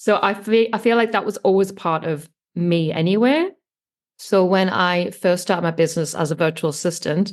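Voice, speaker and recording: Medium-pitched speech from a woman with an English accent, at a moderate pace with ordinary pitch variation. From England. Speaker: online business manager. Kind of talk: podcast interview.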